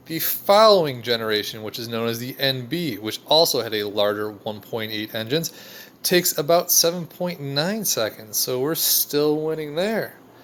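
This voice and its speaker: Noticeable background noise sits behind a man whose fairly high pitch moves in very wide swings. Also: moderate pace. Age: 30s. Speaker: car enthusiast youtuber. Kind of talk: casual video narration.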